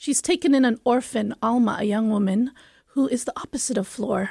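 The voice is dark and mellow, somewhat breathy, at a moderate pace. The sound is dry and close with no echo, in a very clean recording with a silent background. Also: woman. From Philippines, Manila. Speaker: theatre artist. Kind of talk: radio interview.

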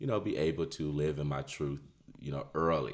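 This man has a very deep, low pitch and fairly even intonation. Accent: American. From Detroit, Michigan. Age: 30s. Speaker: community activist and author. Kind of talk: casual interview.

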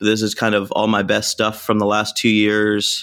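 With a slight Canadian accent, a man speaks at a fairly low pitch in a very clean recording with a silent background. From Canada, Vancouver. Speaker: DJ and record label owner. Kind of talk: casual interview chat.

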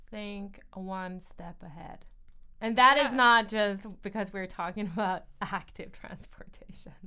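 Woman's medium-pitched voice in a Swedish accent, bright and sharp in tone, at a fairly slow pace with big swings in loudness. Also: fairly even intonation. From Sweden. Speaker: design and communication specialist. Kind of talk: casual chat. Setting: library room.

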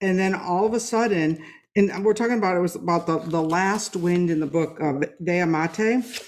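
An unremarkable speaking voice from a woman, fairly low in pitch with ordinary pitch variation, moderate in pace and very even in loudness. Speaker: podcast host and author. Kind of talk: casual interview.

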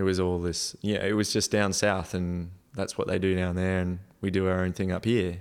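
A man with an Australian accent speaks at a moderate pace with a very deep, low pitch and monotone, flat intonation. His loudness stays very even in a very clean recording with a silent background. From North Queensland, Australia (Townsville). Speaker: rock climber and mechanical engineer. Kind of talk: casual interview chat.

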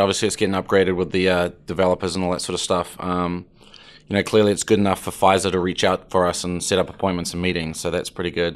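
In a New Zealand accent, a man speaks at a fairly quick pace. His pitch is very deep and low. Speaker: startup co-founder. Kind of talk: interview.

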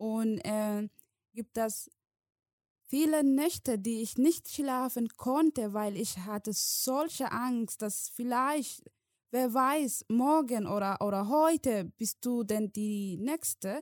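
In a Somali accent, a woman speaks at a very slow pace with a fairly high pitch and ordinary pitch variation, in a dry, close sound with no echo on a very clean recording with a silent background. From Somalia. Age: 20s. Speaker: guest refugee telling her story. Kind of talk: personal testimony. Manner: halting, emotional, with pauses.

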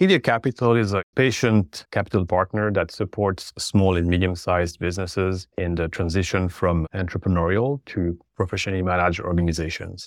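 With hardly any pauses, a man speaks at a fairly quick pace in a very deep, low pitch and fairly even intonation, the sound dry and close with no echo on a very clean recording with a silent background. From French-speaking Switzerland. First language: French. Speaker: private equity investor. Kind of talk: interview.

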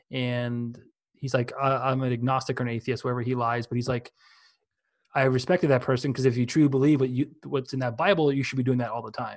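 Talking very fast with fairly even intonation, a man with a medium-pitched voice is heard on a very clean recording with a silent background. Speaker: podcaster. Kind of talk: casual chat.

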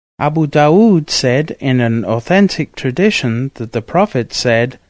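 Against a quiet background, a man with an ordinary speaking voice talks at a moderate pace and fairly high pitch, with lively intonation. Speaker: audiobook narrator. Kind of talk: scripted narration, reading aloud of a saint's biography. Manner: formal; measured, reverent.

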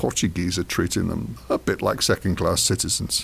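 A man speaks with an English accent. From England. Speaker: podcast co-host. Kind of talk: casual chat.

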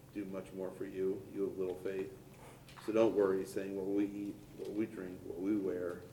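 Somewhat breathy and dark, mellow in tone, a man's fairly low voice stays monotone and flat at a moderate pace, broken by long, frequent pauses. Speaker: congregation member. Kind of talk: reading aloud.

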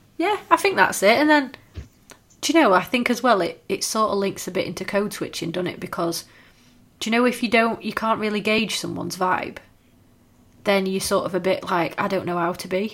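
Speaking fairly quickly with a northern English accent, a woman keeps a medium pitch with ordinary pitch variation. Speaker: podcast co-host. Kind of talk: casual chat. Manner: fast talker.

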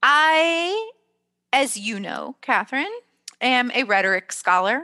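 Against a quiet background, a woman speaks very slowly in a bright, sharp tone with very wide pitch swings, and the sound is dry and close with no echo. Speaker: podcast host and teacher. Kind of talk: casual chat. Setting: video call.

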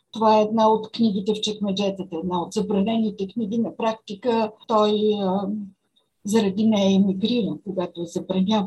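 Somewhat breathy, the voice keeps to monotone, flat intonation. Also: woman, medium pitch for a woman, moderate pace. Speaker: journalist and writer. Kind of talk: interview. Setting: video call.

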